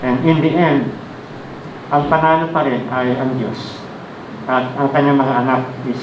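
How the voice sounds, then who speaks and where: Audible room echo and noticeable background noise fill this recording. A man speaks fairly slowly at a medium pitch, with fairly even intonation. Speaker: pastor. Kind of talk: sermon. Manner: hesitant fillers, polite.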